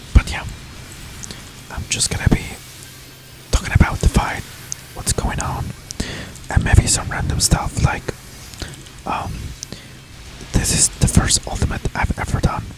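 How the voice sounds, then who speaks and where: Whispering with a non-native accent at a moderate pace, the speaker takes long, frequent pauses while music plays in the background. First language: not English. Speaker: gaming ASMR creator. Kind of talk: ASMR gameplay commentary. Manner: soft-spoken; hesitant with filler words.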